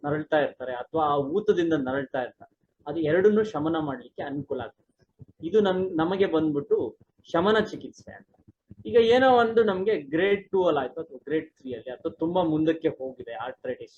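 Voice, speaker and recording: Lively intonation marks a man's high-pitched speech. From India, Karnataka (Challakere, Chitradurga district). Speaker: Ayurvedic doctor and professor. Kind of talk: medical explanation interview.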